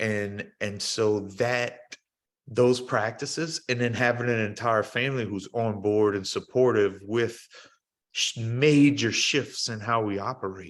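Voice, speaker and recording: Over a quiet background, the speaker goes at a fairly slow pace with fairly even intonation and an American accent. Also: man, medium pitch for a man. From South Louisiana. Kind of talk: podcast interview answer.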